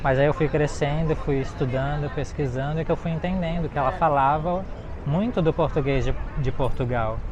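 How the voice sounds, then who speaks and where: Amid noticeable background noise and audible room echo, a man speaks at a moderate pace in a fairly high pitch with ordinary pitch variation. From Brazil, Florianópolis. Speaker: travel vlogger. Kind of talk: walking travel vlog. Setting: outdoors by the river.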